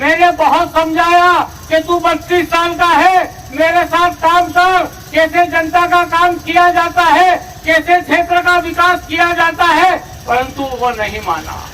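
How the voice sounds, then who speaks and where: Noticeable background noise surrounds a man whose raised, projected voice reaches an extremely high pitch. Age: 70s. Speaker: politician. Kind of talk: political rally speech.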